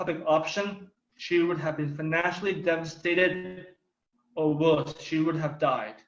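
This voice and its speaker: Audible room echo surrounds this speaker. He is a man with a high-pitched voice. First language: Thai. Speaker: political speaker. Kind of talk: prepared speech.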